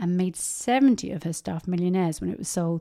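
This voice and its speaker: A woman with a British accent speaks at a fairly quick pace. The recording is very clean, with a silent background. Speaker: podcast host. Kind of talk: podcast recap with ad read.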